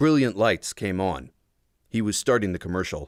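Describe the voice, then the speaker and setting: A man with a fairly low pitch and vocal fry speaks with lively intonation on a very clean recording over a silent background. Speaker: audiobook narrator, voice talent. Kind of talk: audiobook narration of a young adult novel. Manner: first-person, tense, action-driven narration.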